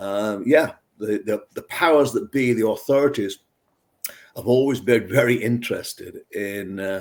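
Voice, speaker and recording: The pace is fairly slow, with ordinary pitch variation. The speaker has a northern English accent. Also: man, medium pitch for a man. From northwest England, near Manchester. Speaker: beer scientist. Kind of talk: interview. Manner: conversational with frequent fillers and repeats.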